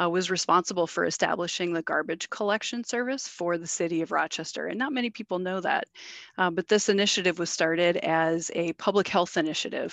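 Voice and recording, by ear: A woman with a fairly low pitch talks at a fairly quick pace, her fairly bright tone carrying vocal fry and ordinary pitch variation in a dry, close sound with no echo.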